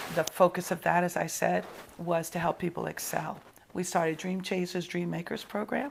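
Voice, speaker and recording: A woman speaks at a fairly low pitch with a New York accent. Her pace is moderate and her intonation fairly even. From New York (Brooklyn). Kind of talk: interview.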